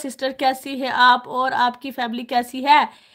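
A high-pitched woman's voice. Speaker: YouTuber. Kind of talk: live stream chat.

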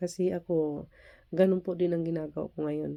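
A woman's dark, mellow tone, monotone and flat, against a quiet background. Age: middle-aged. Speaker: overseas Filipino worker vlogger. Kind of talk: reaction vlog. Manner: halting.

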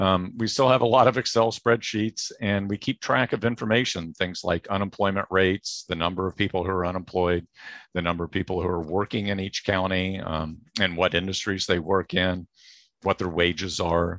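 A man speaks with a very deep, low pitch at a moderate pace and fairly even intonation. The sound is dry with no echo against a quiet background. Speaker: guest. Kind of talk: interview answer. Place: home room. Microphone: headset.

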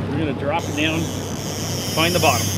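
A man speaks. Loud noise fills the background. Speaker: fishing guide. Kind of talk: tutorial. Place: boat. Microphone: lapel.

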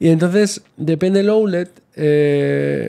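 Against a quiet background, a man's voice carries a dark, mellow tone. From Spain. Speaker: travel blogger. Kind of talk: casual chat. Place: home room. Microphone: studio mic.

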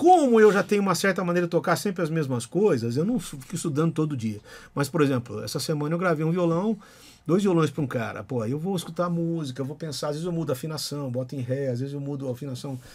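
This man talks at a very fast pace, his fairly high voice full of lively intonation. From Brazil. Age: 50s. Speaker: guitarist and singer; podcast guest. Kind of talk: casual chat. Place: studio. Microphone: studio mic.

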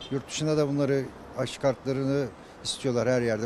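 A man speaks at a fairly quick pace with monotone, flat intonation, in a dry sound with no echo and light background noise. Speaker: interviewee. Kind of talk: interview answer. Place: street. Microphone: handheld.

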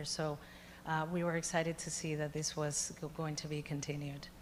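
Someone speaks at a fairly quick pace with a Spanish accent. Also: woman. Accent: noticeable Spanish-language. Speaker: education foundation representative. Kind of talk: board meeting presentation. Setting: public board meeting.

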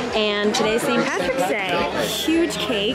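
With crowd noise in the background, a woman speaks at a fairly slow pace. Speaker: travel vlogger. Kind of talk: casual vlog chat. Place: boat. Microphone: phone near.

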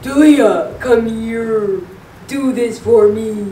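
Booming in a put-on character voice, the speaker goes at a very slow pace with fairly even intonation and a slight echo. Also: woman, fairly high pitch for a woman. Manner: commanding.

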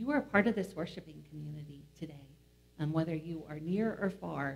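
A somewhat breathy woman talks at a fairly quick pace with lively intonation. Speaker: pastor leading worship. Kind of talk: worship announcements. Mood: warm, welcoming. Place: church.

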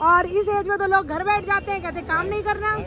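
A raised, projected voice sounds dry, with no echo. Light background noise sits behind it. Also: woman. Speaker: street food vlogger. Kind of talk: casual food vlog talk to camera. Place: street. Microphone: phone near.

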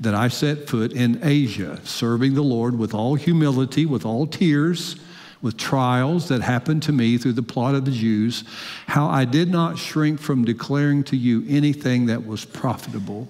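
The background stays quiet as a man talks at a moderate pace. His pitch varies in an ordinary way. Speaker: preacher. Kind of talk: sermon. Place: church. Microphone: headset.

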